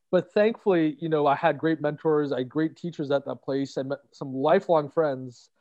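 An ordinary speaking voice belongs to a man with a Canadian accent. He speaks with fairly even intonation and hardly any pauses. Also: fairly high pitch for a man, moderate pace. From Toronto, Canada. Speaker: author. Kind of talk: casual interview.

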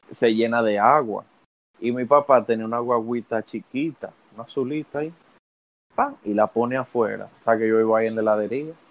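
A man with a Dominican accent, medium pitch, fairly even intonation and a fairly quick pace. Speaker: podcast co-host. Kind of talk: casual chat.

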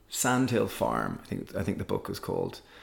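This is a man speaking with an Irish accent. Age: 30s. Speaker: social entrepreneur and cookbook author. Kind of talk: casual interview conversation.

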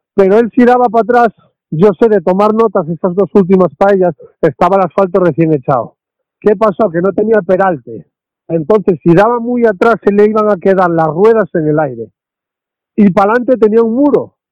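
A man speaks at a high pitch and a fairly quick pace. His pitch varies in an ordinary way. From Asturias, Spain. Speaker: rally co-driver. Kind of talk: interview.

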